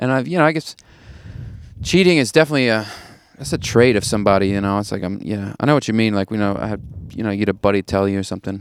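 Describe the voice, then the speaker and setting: A man with an American accent talks at a very fast pace and a fairly low pitch, his intonation lively, though he takes long, frequent pauses. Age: 30s. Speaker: stand-up comedian. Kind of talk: casual chat. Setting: outdoors.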